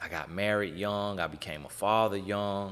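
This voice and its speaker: A man's fairly low-pitched, animated voice with an American accent at a fairly slow pace. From US South, Polk County, Florida. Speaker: podcast host. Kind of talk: podcast introduction monologue.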